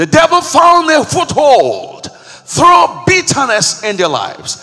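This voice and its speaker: A man's intense, raised, projected voice, with very wide pitch swings, a very slow pace, and noticeable background noise. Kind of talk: fervent prayer and renunciation led before a congregation, full of pleading and praise. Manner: intense, urgent, commanding, rising in emphasis as a preacher would; repetitive, rhythmic, declaring each line with conviction.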